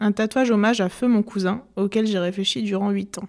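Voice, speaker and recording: On a very clean recording with a silent background, a woman with an unremarkable speaking voice talks at a medium pitch and a moderate pace, her intonation fairly even. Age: 20s. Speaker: podcast host. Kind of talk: scripted narration; interview.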